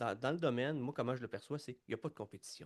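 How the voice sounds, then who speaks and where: A man is speaking. He has a Quebec accent. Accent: Québécois French. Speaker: podcast host, leadership coach. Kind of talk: podcast interview. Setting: studio.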